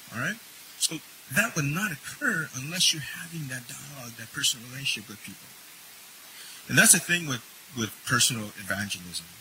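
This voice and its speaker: The speech has long, frequent pauses, very wide pitch swings and big swings in loudness. Noticeable background noise runs underneath. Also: man, fairly high pitch for a man. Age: 50s. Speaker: minister and chaplain. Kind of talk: sermon.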